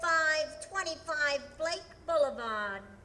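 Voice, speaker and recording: A put-on character voice with a high pitch moves at a fairly slow pace against clear background noise. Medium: old radio play. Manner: flat, announcing.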